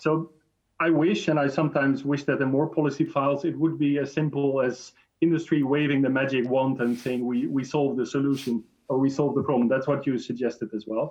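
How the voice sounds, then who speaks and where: A man with a Dutch accent speaks at a fairly high pitch. His pace is fairly quick and his intonation fairly even. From Netherlands. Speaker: chemical industry association director. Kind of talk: panel debate interview.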